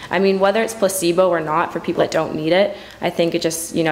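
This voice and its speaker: Noticeable background noise is present. The speaker talks at a very fast pace. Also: woman. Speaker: student who sells prescription drugs. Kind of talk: interview.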